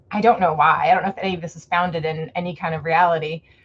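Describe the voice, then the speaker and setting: The voice has an American accent and a somewhat breathy sound. The pace is very fast. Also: woman. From US South, Fort Myers, Florida. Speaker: author. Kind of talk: casual chat. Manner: animated.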